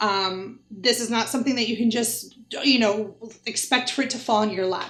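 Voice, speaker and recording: Moderate pace, ordinary pitch variation, and audible room echo. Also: woman. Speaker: travel influencer coach. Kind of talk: tutorial. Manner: animated.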